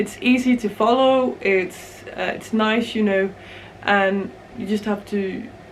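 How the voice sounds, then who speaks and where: Through noticeable background noise, a woman with a Danish accent and a fairly high pitch speaks at a very slow pace with fairly even intonation. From Denmark. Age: 20s. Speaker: knitting podcaster. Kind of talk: casual chat. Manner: mumbling; hesitant, many fillers.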